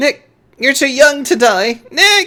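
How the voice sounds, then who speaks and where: A woman does a put-on character voice. Her pitch is high. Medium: game stream.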